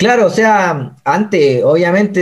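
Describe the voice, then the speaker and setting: Here a man speaks with a Chilean accent. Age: 20s. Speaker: missionary. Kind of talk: testimony.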